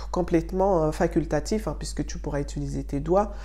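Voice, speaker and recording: Amid audible room echo, a woman speaks at a moderate pace. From Mayotte. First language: Shimaore (Mayotte language) (speaking French). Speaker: beauty and wellness youtuber. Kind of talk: tutorial.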